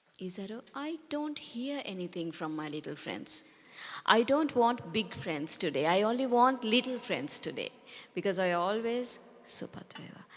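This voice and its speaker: A woman with a Sri Lankan accent speaks at a fairly high pitch, with very wide pitch swings and big swings in loudness, on a very clean recording with a silent background. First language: Sinhala. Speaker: Buddhist nun teacher. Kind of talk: dharma talk to children. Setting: talk to a group of children. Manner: gentle, slow and simple.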